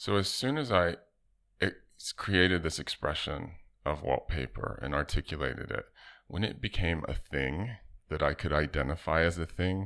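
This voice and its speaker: Over a silent background in a very clean recording, the voice has a bright, sharp tone with vocal fry, ordinary pitch variation and a moderate pace. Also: man. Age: 40s. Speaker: artist and designer. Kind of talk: casual interview.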